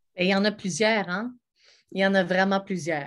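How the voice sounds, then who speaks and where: The background stays quiet while a woman talks. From Quebec (Montebello); Quebec. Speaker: actress and singer; actress. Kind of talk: sales pitch. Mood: warm, enthusiastic. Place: home room. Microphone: webcam.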